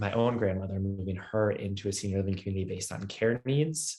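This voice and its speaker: Talking fairly quickly, the man keeps his voice fairly low. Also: quiet background. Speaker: tech startup founder and CEO. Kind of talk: webinar presentation. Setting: video webinar. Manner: fast.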